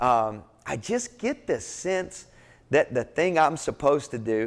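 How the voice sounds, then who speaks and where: In a very clean recording with a silent background, a man with a Kentucky accent speaks in an animated tone with ordinary pitch variation. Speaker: pastor and entrepreneur speaker. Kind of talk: motivational talk. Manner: halting.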